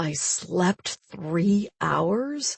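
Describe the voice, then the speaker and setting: A woman's put-on character voice, gravelly and growling, at a medium pitch with lively intonation. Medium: read story.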